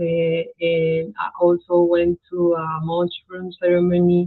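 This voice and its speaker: This woman has a fairly low pitch. She speaks in a Spanish accent. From Colombia. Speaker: spiritual practitioner. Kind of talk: interview. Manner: halting.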